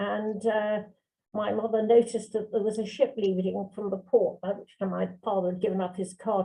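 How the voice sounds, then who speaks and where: At a moderate pace, a woman speaks in a monotone, flat intonation at medium pitch, with vocal fry. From London, England. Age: 80s+. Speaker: barrister and journal editor. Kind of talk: interview. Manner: hesitant.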